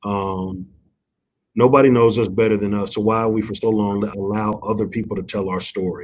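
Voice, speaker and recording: This man speaks at a fairly quick pace in a fairly low pitch, his intonation monotone and flat. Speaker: nonprofit executive. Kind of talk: interview.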